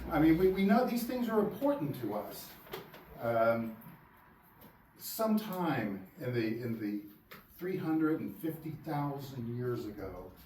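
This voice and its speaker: With audible room echo and noticeable background noise, a man with a fairly high pitch talks at a fairly slow pace with very wide pitch swings and long, frequent pauses. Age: 60s. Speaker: lecturer on archaeology. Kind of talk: lecture. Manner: halting, with many repeated words.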